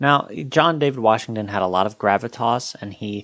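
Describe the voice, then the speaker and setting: The background is quiet. The voice shows ordinary pitch variation. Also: man. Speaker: film reviewer. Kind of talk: casual film review to camera. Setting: talking to a camera, home video. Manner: halting, with fillers and restarts.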